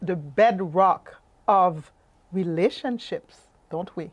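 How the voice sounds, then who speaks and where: Here a woman speaks very slowly with ordinary pitch variation. The background is quiet. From Haiti. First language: French. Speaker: life coach and workshop presenter. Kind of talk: presentation. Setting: webinar.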